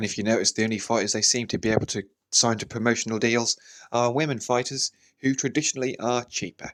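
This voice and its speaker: A man talks at a very fast pace with fairly even intonation and a medium pitch. The recording is very clean, with a silent background and a dry, close sound with no echo. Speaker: boxing channel host. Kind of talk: solo commentary podcast. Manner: unscripted, off the cuff.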